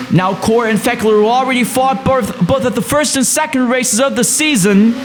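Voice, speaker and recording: The man's extremely high voice holds very even loudness and ordinary pitch variation, with noticeable background noise behind it. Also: fairly quick pace. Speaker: sim racing commentator. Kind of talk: race highlights commentary.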